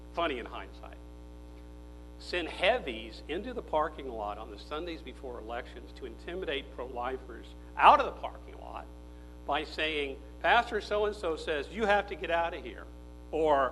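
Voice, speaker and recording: Over music in the background, a man talks at a moderate pace with big swings in loudness and audible room echo. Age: 60s. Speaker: political speaker and former philosophy professor. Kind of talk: conference speech. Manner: animated.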